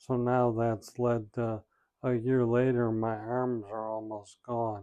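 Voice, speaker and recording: A very slow, flat monotone in a dark, mellow tone. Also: man. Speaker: vlogger with ALS. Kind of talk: personal vlog. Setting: seated in wheelchair. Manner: hesitant, many fillers.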